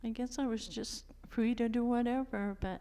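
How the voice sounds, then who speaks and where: A woman with an American accent has a dark, mellow tone. She speaks at a fairly slow pace with monotone, flat intonation. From Maine coast, US. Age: 70s. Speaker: retired fisherwoman. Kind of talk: interview. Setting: church, audience.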